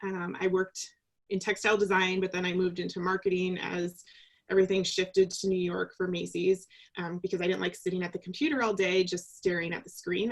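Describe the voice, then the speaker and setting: A woman with medium pitch and an ordinary speaking voice talks at a fairly quick pace. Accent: American. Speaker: leadership coach. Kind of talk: casual interview. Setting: video call.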